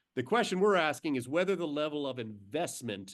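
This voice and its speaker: Against a quiet background, a man talks at a fairly quick pace. His pitch moves in an ordinary way. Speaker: investment strategist. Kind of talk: webinar presentation. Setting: webinar. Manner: animated; fast.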